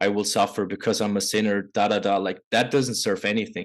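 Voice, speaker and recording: A man with a non-native accent and fairly low pitch talks at a moderate pace against a quiet background. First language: not English. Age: 20s. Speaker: men's coach. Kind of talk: podcast interview.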